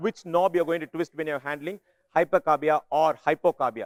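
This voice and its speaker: A loud man at a very fast pace, in a dry, close sound with no echo. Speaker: neonatal ventilation workshop lecturer. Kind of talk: lecture. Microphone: speaking without a microphone.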